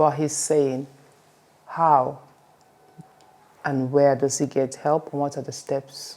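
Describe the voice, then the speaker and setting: With an African accent, a woman speaks at a very slow pace with long, frequent pauses, her very deep, low pitch delivered in a dark, mellow tone and monotone, flat intonation. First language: African language. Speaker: podcast host. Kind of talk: interview.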